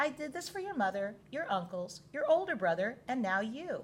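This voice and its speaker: A woman uses a put-on character voice, soft-spoken and high-pitched, at a moderate pace. Her pitch swings very widely. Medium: read story. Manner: soft, cooing.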